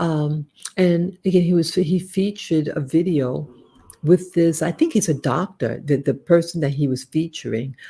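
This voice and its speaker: A somewhat breathy, fairly low-pitched woman with an American accent. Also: ordinary pitch variation, moderate pace. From United States. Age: 60s. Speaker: YouTuber and Navy veteran. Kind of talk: casual live stream monologue. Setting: home living room live stream. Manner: halting.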